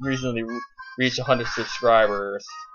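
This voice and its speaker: A man is speaking. Music plays in the background. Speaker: let's play gamer. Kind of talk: gameplay commentary. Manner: fast, slurring words together; halting, many false starts.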